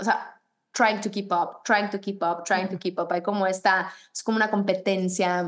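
A woman's unremarkable speaking voice, medium in pitch, with fairly even intonation. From Mexico. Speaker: fitness instructor and running coach. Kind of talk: casual interview.

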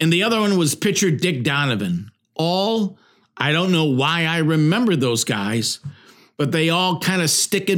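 On a very clean recording with a silent background, a man with a fairly high pitch speaks at a fairly slow pace with lively intonation. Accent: Ohio. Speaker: sports podcast host. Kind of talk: solo sports commentary monologue.

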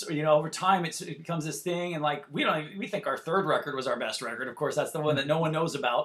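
Here is a man with a Californian accent and a fairly high pitch. His pitch varies in an ordinary way. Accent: Californian American. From Santa Barbara, California. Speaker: rock guitarist. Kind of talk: casual interview chat.

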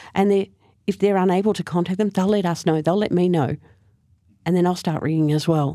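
With an Australian accent, a woman speaks in a fairly low pitch and a dark, mellow tone at a fairly quick pace, with fairly even intonation, very even loudness, and long, frequent pauses. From Australia, Frankston, Victoria. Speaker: Salvation Army officer. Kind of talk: interview conversation. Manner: hesitant, repeats words.

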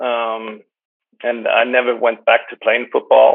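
The speaker has a Swedish accent. The pace is moderate. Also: man. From Sweden. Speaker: sports DJ and event presenter. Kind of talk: casual interview. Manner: halting, searching for words.

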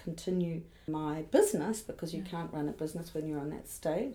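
A woman speaks in a dark, mellow tone. Her intonation stays fairly even. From New Zealand, Auckland. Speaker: art fair director. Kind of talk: interview.

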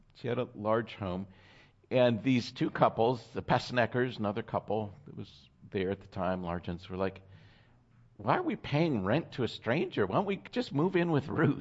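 A man of medium pitch speaks at a moderate pace, his voice making very wide pitch swings. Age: 50s. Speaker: pastor. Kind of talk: sermon.

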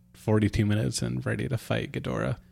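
A man talks in a fairly low pitch. Music can be heard behind him. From Alaska. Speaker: podcast host. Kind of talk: casual chat.

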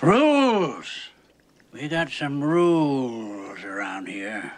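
In a put-on character voice, the speaker growls out gruff words at a very slow pace and a low-to-middle pitch. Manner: pirate-like, gruff.

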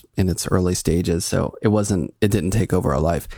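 A man with an American accent has a dark, mellow tone. He speaks at a moderate pace with vocal fry. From Pittsburgh, US. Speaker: artist and professor. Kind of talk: casual interview chat.

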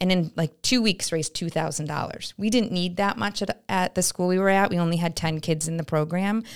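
In an American accent, a woman with an ordinary speaking voice talks at a moderate pace, her pitch fairly low and her pitch variation ordinary. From upstate New York, Glens Falls. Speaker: nonprofit director. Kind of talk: casual interview. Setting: studio.

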